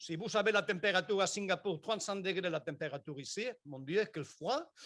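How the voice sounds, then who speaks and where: In a very clean recording with a silent background, a man with a Spanish accent talks in a high voice at a moderate pace. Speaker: engineering researcher. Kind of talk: conference talk.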